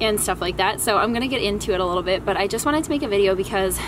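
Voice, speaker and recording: There is noticeable background noise behind a woman's voice. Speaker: vlogger. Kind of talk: casual vlog chat. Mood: cheerful, relaxed. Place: garden.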